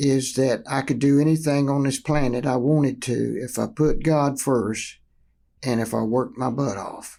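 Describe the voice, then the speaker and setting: A man with a North Carolina accent speaks at medium pitch and a moderate pace, his tone dark and mellow. His intonation is fairly even, on a very clean recording with a silent background. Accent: Southern US (North Carolina). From North Carolina, Kannapolis. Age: 80s+. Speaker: former pro sports team owner. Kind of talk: interview. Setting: podcast recording. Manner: halting, many fillers.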